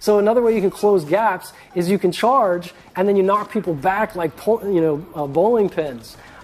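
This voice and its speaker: A man's high-pitched, animated voice comes through noticeable background noise. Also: ordinary pitch variation. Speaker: game designer. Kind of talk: livestream gameplay chat. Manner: fast.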